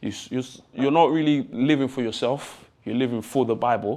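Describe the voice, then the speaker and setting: At a moderate pace, a man speaks in a fairly high voice with ordinary pitch variation. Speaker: talk show contestant. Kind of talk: audition panel discussion. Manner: loud; code-switching English and Lingala.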